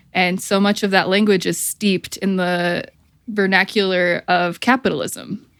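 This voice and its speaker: A woman with an American accent at a medium pitch, monotone and flat, at a moderate pace. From Michigan, near Flint. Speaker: therapist and author. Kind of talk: casual interview chat. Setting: video call.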